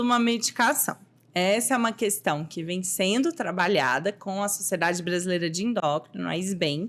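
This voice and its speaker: A woman's lively intonation at a moderate pace, over noticeable background noise. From Goiás, Brazil (Anápolis). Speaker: endocrinologist. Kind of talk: interview.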